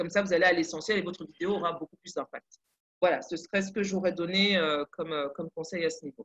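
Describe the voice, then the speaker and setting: The speech comes at a very fast pace with fairly even intonation. The sound is dry and close, with no echo. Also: woman, fairly low pitch for a woman. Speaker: content producer giving advice. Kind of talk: webinar presentation. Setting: online webinar.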